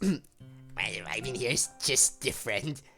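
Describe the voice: Faint music plays behind a put-on character voice pitched low-to-middle and delivered at a fairly slow pace.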